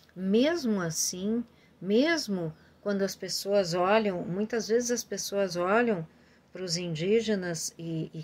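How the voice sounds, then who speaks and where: This woman talks very slowly at a medium pitch. Her pitch varies in an ordinary way. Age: 60s. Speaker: family constellation therapist. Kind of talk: informal talk to viewers. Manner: hesitant, many fillers.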